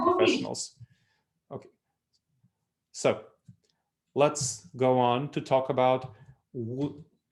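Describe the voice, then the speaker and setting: Speaking with an Eastern European accent, a man keeps his intonation fairly even. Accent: Eastern European accent, kept. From Moldova, then New York City. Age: 30s. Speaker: consultant and author, speaker. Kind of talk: lecture.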